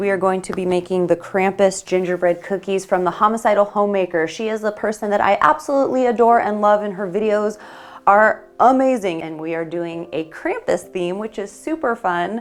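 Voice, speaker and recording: At a moderate pace, a woman talks at a medium pitch with ordinary pitch variation. It is a plain, everyday voice. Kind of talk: casual talk to camera. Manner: upbeat, chatty.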